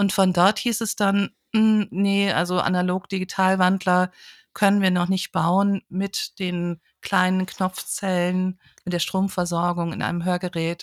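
A woman's medium-pitched, monotone, flat voice at a fairly slow pace, the sound dry and close with no echo. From northern Hesse, Germany (village near Kassel). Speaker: audiology professor. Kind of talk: interview. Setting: remote recording.

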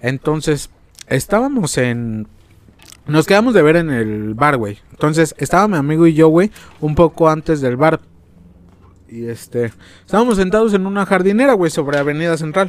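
The voice moves at a moderate pace with very wide pitch swings. Long, frequent pauses break up the speech. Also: man, fairly high pitch for a man. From Mexico. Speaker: podcast host. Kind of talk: casual chat.

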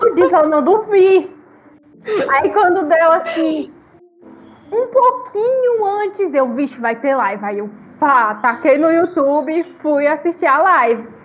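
Speaking very slowly with long, frequent pauses, a woman uses an extremely high pitch and very wide pitch swings over noticeable background noise. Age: 30s. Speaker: podcast cast member. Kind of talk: casual chat.

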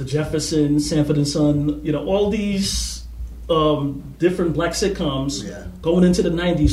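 Amid noticeable background noise and audible room echo, a man with an American accent speaks at a fairly slow pace. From US Northeast, Harlem, New York City. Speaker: activist. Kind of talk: casual interview conversation.

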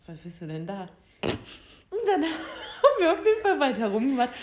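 In a room with audible echo, a woman with a fairly high voice speaks at a fairly quick pace, using very wide pitch swings and long, frequent pauses. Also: big swings in loudness. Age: 20s. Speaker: podcast co-host. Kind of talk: casual chat.

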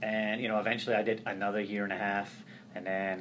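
Speaking with a Scottish accent, this man has a fairly low pitch. His pace is moderate. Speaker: transition services coordinator. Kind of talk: interview conversation.

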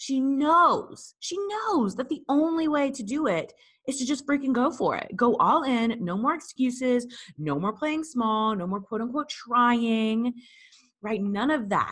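A woman with an American accent, high-pitched and animated, with lively intonation at a fairly slow pace. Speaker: business coach. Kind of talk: pep talk, motivational monologue.

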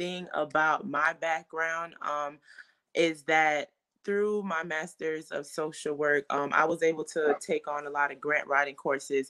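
A woman with an American accent, fairly low pitch, bright, sharp tone, ordinary pitch variation and fairly slow pace. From Fort Lauderdale, Florida, Haitian family. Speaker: mental health therapist and non-profit founder. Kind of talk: interview.

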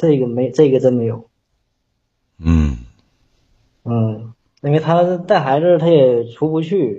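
A man with a northeastern Chinese accent, medium in pitch, somewhat breathy, with lively intonation, a very slow pace and long, frequent pauses. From Northeast China, Shenyang. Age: 30s. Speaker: caller seeking relationship advice. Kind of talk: call-in advice chat. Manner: halting.

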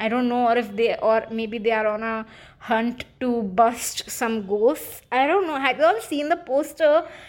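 High in pitch, a woman speaks at a fairly slow pace. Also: ordinary pitch variation. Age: 20s. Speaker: podcast host. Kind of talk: casual solo chat. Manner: animated.

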